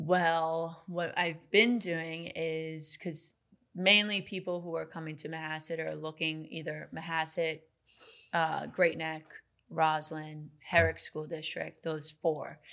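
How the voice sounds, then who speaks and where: A woman with an American accent, fairly low in pitch, with a bright, sharp tone, monotone, flat intonation, big swings in loudness and a very slow pace, in a very clean recording with a silent background. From Long Island, New York. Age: 20s. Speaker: real estate agent. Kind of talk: casual interview.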